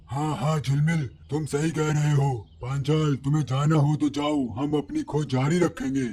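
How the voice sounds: Over light background noise, a man does a cartoonish character voice, fairly high in pitch and very even in loudness. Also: moderate pace.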